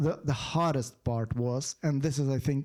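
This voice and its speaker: A man is speaking. He has a Ukrainian accent. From western Ukraine. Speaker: writer and soldier. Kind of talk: panel discussion. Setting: stage with audience. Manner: halting.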